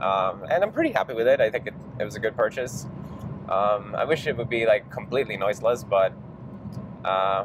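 Noticeable background noise behind a man's fairly quick delivery. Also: dry sound with no echo. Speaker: software developer vlogger. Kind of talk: casual vlog chat. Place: car. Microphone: lapel.

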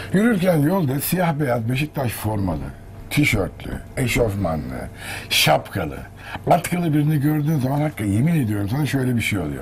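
At a moderate pace, the voice makes very wide pitch swings over light background noise. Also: man. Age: 50s. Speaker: actor and voice artist; actor. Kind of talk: casual chat. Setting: sports club store. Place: shop.

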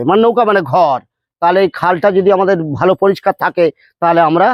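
This man's voice sits at a high pitch. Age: 40s. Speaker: farmer. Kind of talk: street interview.

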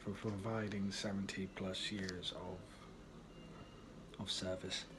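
Over noticeable background noise, a man speaks in a fairly low pitch with monotone, flat intonation. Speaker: vlogger. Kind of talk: casual vlog chat. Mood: reflective, tribute tone. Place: kitchen. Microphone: phone near.

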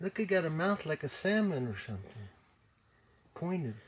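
A man with a fairly high pitch speaks with big pitch swings and a slightly husky edge.

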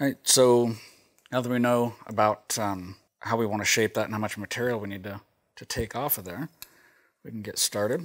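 A man speaks at a fairly quick pace with fairly even intonation, and the background is quiet. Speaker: sharpening instructor. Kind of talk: tutorial. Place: workshop. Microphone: lapel.

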